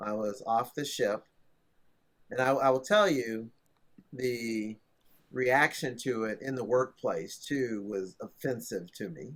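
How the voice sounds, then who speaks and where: A man at a very slow pace and medium pitch, ordinary pitch variation, long and frequent pauses. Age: 60s. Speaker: tech entrepreneur. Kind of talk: casual chat.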